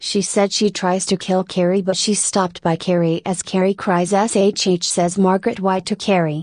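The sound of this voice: Unforced reading voice, nothing more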